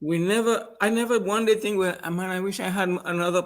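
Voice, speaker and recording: With fairly even intonation, a man speaks high in pitch at a moderate pace. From Trinidad and Tobago. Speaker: trainer. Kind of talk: interview. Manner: halting, repeating words.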